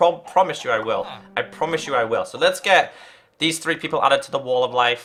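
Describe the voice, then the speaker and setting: Talking at a very fast pace, a man has a bright, sharp tone. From northern England, Liverpool. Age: 20s. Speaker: gaming streamer. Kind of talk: casual live-stream chat. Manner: halting, many fillers and repeats; earnest.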